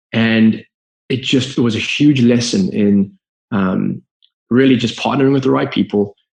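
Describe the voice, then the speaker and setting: With a Zimbabwean accent, a man talks at a fairly quick pace, his medium pitch showing ordinary variation. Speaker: business founder. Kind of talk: podcast interview. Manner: halting.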